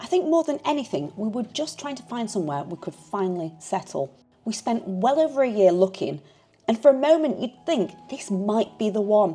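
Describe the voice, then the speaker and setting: A woman with a fairly high pitch speaks at a moderate pace, her pitch swinging very widely and her loudness shifting a lot. Noticeable background noise is present. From Yorkshire, England. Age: 40s. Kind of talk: personal vlog narration. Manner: calm, reflective.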